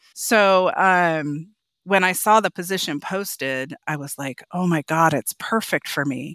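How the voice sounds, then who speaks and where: With an American accent and a plain, everyday voice, a woman of fairly low pitch speaks at a fairly slow pace with ordinary pitch variation, the recording very clean with a silent background and a dry, close sound with no echo. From Oregon, US Pacific Northwest. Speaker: hotel company executive. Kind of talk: casual interview.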